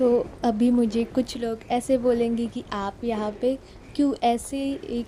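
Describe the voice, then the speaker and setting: A woman's fairly high, monotone voice with flat intonation and a Mumbai accent. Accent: Mumbai-style Hindi. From Maharashtra, Mumbai. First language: Marathi (speaking Hindi). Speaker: mobile gaming YouTuber. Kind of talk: gameplay voice-over.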